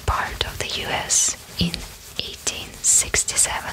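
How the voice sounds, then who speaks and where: A woman's whisper comes through with noticeable background noise behind it. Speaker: ASMR creator. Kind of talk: ASMR whisper video. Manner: whispered, soft-spoken.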